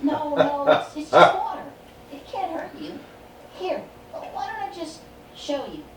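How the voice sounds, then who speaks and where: With slight echo and clear background noise, someone performs a put-on character voice at an extremely high pitch. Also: moderate pace. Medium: game stream.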